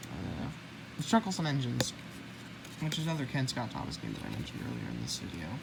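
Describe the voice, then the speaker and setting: A woman with an American accent talks at a very fast pace, breaking it with long, frequent pauses, and the room echo can be heard. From United States. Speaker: YouTuber, toy book collector. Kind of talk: casual show-and-tell video. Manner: halting, self-correcting.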